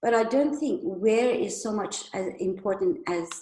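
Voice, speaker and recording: The speaker uses lively intonation in a Persian accent. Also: woman. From Iran. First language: Persian (Farsi). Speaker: migrant storyteller. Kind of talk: personal testimony talk.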